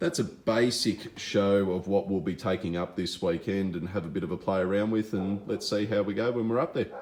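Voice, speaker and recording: Speaking with an Australian accent, a man with a very deep, low pitch keeps a moderate pace and fairly even intonation. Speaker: fishing lure vlogger. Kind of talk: casual gear walkthrough. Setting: home shed at night.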